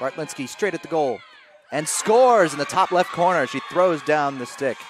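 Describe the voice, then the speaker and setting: Over noticeable background noise, a man speaks at a moderate pace. His fairly high pitch carries lively intonation. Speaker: lacrosse commentator. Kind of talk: live sports commentary. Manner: clipped, excitable.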